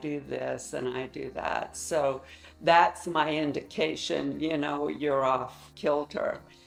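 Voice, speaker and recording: A woman at a very slow pace with ordinary pitch variation, amid noticeable background noise. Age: 70s. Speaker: patient giving testimonial. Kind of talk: testimony.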